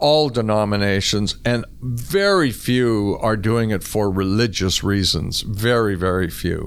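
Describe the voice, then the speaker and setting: Fairly low-pitched male voice with a Canadian accent, fairly slow pace, ordinary pitch variation and very even loudness, plus audible room echo. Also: hardly any pauses. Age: 60s. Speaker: former squash champion. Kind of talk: interview conversation.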